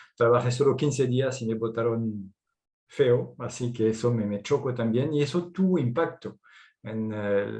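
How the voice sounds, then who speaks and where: Somewhat breathy, a man of medium pitch speaks at a fairly slow pace in a dark, mellow tone. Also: ordinary pitch variation. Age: 50s. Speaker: entrepreneur. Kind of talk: personal testimony.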